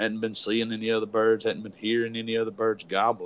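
Talking at a very fast pace, a man with a Southern US accent holds a medium pitch. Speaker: podcast host, turkey hunter. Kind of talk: casual interview chat.

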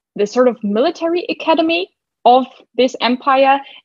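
Speaking at a fairly slow pace with lively intonation, a high-pitched woman with a German accent comes through dry and close, with no echo. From Germany. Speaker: book podcaster. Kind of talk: casual chat.

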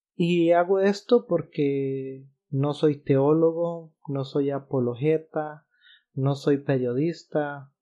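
A man's fairly high-pitched voice with fairly even intonation. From Costa Rica. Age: 30s. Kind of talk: religious podcast monologue.

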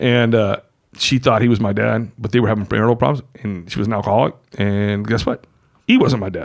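A man speaks in a plain, everyday voice, fairly low in pitch. His intonation stays fairly even at a fairly quick pace. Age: 50s. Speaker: returning podcast guest. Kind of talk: casual chat.

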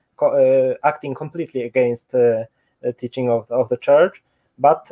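A man's voice, dark and mellow in tone, comes with a Polish accent. The sound is dry and close, with no echo. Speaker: office worker. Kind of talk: interview. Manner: halting.

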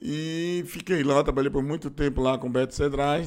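The man talks fairly slowly. His pitch sits fairly high and varies in an ordinary way. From Bahia, Brazil (Feira de Santana). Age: 50s. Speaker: radio host and city councillor. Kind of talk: interview. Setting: studio.

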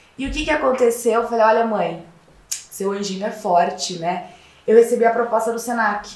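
At a fairly high pitch, a woman speaks at a moderate pace with ordinary pitch variation. Noticeable background noise and audible room echo fill the recording. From interior of São Paulo state (Piracicaba). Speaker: fashion consultant and lecturer. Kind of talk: casual interview.

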